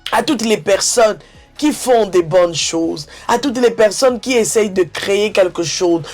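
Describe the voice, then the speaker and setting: Music plays behind a woman speaking at a fairly slow pace. Her pitch is medium, with ordinary variation. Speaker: YouTube commentator. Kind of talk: online video commentary. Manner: halting, repeats words.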